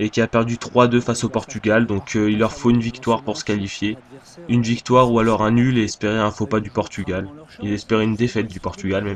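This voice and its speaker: A man's monotone, flat intonation holds as he speaks at a very fast pace. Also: medium pitch for a man. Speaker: gaming commentator. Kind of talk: live commentary. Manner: halting, many fillers.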